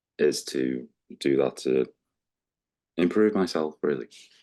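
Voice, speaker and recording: A man speaks at a very slow pace in a dark, mellow tone. His pitch varies in an ordinary way. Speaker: podcast guest. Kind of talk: interview answer.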